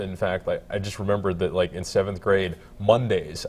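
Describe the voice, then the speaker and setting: A man talks at a fairly quick pace. His voice sounds somewhat breathy. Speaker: stand-up comedian. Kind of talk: TV morning news interview. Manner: fast.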